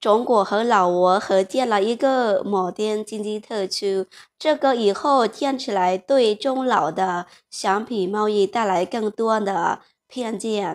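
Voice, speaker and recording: Fairly high-pitched, a woman speaks at a very slow pace with ordinary pitch variation. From Laos. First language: Lao (speaking Chinese). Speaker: vlogger. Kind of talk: vlog monologue. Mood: warm, earnest. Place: home room.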